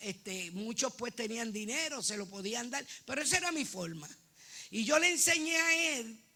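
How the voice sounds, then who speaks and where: Over noticeable background noise, a woman with a high voice speaks at a moderate pace with very wide pitch swings. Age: 60s. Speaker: church member. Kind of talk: testimony. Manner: halting.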